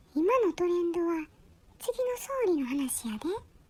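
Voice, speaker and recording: A put-on character voice at an extremely high pitch with very wide pitch swings. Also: moderate pace. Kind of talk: comic pet dialogue.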